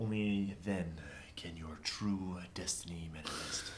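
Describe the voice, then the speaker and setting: A man puts on a character voice with a very deep, low pitch. He talks at a fairly slow pace with fairly even intonation. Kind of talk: low, smooth, theatrical. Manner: dramatic, smooth.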